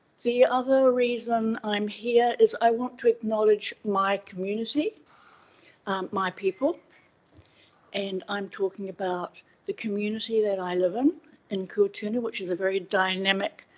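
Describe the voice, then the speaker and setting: In a New Zealand accent, a woman speaks with ordinary pitch variation. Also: fairly high pitch for a woman, moderate pace. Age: 60s. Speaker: public submitter at council hearing. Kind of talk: public submission. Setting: council meeting room. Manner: slightly slurred speech from dental plates.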